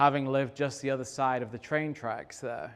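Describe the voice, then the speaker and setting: A man with an English accent speaks in a monotone with flat intonation. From England. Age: middle-aged. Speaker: real estate developer. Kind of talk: talk to an audience. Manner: halting, many fillers.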